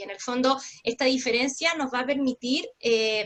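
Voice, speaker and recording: Her voice is high-pitched, and this woman keeps her intonation fairly even. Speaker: lawyer presenter. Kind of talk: webinar presentation. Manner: fast.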